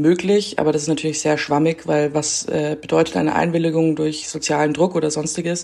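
At a fairly quick pace, a woman speaks in a very deep, low voice with a dark, mellow tone, vocal fry and monotone, flat intonation. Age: 20s. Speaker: reporter. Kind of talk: casual interview.

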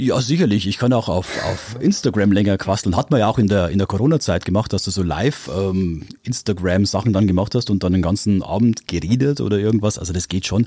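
A man speaks in a fairly low pitch with a dark, mellow tone and ordinary pitch variation. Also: fairly quick pace. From Upper Palatinate, Bavaria. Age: 50s. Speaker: radio morning show host. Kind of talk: casual interview. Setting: studio.

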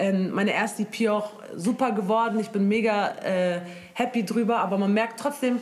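A woman with a fairly high pitch and ordinary pitch variation, against noticeable background noise. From Germany, Moroccan family. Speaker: singer. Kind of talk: casual chat.

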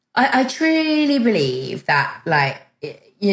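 A woman speaks in a somewhat breathy voice with a British accent. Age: 40s. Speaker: dating coach and author. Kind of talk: casual interview. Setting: remote call.

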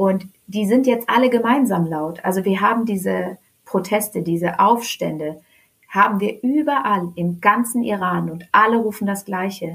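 With an animated tone, the speaker keeps a moderate pace and ordinary pitch variation. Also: woman, medium pitch for a woman. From Germany (Hannover area), born in Tehran. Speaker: Iranian-German activist. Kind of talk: casual interview. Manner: animated, hesitant fillers.

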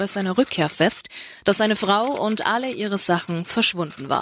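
A woman of medium pitch speaks at a moderate pace with ordinary pitch variation while noticeable background noise sounds behind her. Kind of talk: news and police report reading. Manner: formal, neutral, matter-of-fact.

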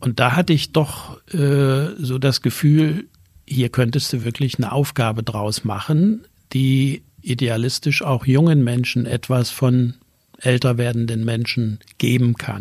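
Speech comes at a very slow pace. The voice is somewhat breathy, with ordinary pitch variation. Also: man, medium pitch for a man. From East Germany, Erzgebirge (Saxony). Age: 70s. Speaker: retired business association executive. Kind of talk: interview.

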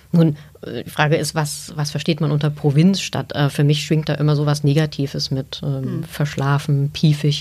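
A woman speaks at a moderate pace in a very deep, low pitch. Her intonation is monotone and flat over noticeable background noise. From Saxony, Chemnitz. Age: 40s. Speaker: newspaper editor. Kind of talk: interview.

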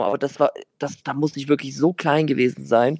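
At a fairly quick pace, a man talks with a dark, mellow tone and fairly high pitch. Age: 20s. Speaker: football podcast co-host. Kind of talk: casual chat. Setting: recording from a hotel on holiday. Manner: animated.

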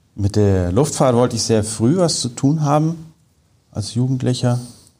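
A man's medium-pitched, somewhat breathy voice with a dark, mellow tone and lively intonation. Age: 40s. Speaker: engineer and polar researcher. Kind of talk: interview.

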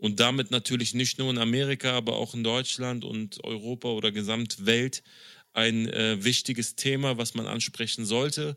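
A man's bright, sharp voice at medium pitch, monotone and flat, at a moderate pace. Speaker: podcast host. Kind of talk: casual chat. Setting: video call.

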